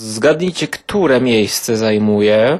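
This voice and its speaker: A very slow pace with ordinary pitch variation. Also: man. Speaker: film reviewer podcaster. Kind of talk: casual film review monologue.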